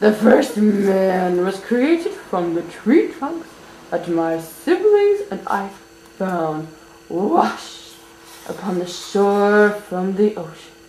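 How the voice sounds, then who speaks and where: The speaker uses a put-on character voice. Every word comes out at a very slow pace. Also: woman, medium pitch for a woman. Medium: read story.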